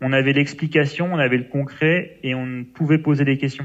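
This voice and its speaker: His pitch is fairly high, and this man speaks in a monotone, flat manner. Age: 20s. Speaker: logistics manager. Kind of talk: interview. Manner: hesitant, many fillers.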